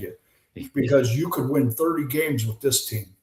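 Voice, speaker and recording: The voice is animated and somewhat breathy. It carries an American accent. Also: man. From US West Coast (San Diego, California). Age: 70s. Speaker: retired baseball pitcher and author. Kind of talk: casual interview chat. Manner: animated storytelling.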